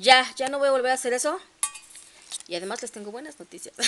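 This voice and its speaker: With a Mexican accent, a woman talks in an animated tone with ordinary pitch variation over light background noise. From Mexico. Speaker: collector vlogger. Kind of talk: casual unboxing vlog. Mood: cheerful, enthusiastic. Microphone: phone near.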